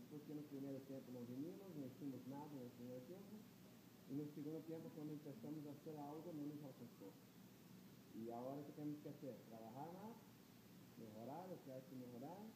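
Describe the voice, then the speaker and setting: Over noticeable background noise, the speaker keeps a moderate pace and ordinary pitch variation, with long, frequent pauses. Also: man. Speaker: team fitness coach. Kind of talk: interview answer. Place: hall. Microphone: handheld.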